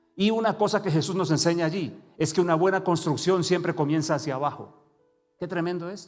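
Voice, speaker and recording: Backed by music and audible room echo, a man with a fairly high pitch talks at a fairly quick pace. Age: 60s. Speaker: preacher. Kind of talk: sermon.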